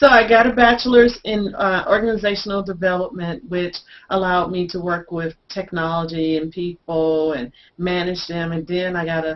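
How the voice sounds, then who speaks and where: A woman with an American accent and a fairly low pitch speaks at a moderate pace, her loudness swinging widely. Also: ordinary pitch variation. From US South, Little Rock, Arkansas. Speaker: online business consultant. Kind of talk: casual interview chat. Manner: carefully enunciated.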